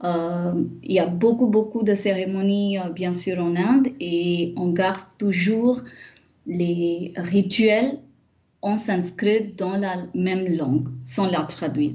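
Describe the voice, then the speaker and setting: Somewhat breathy and dark, mellow in tone, the voice moves at a very slow pace with ordinary pitch variation and audible room echo. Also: woman, medium pitch for a woman. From India, Mumbai. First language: not French; Indian language (speaking French). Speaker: Sanskrit scholar and teacher. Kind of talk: interview. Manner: hesitant, many fillers.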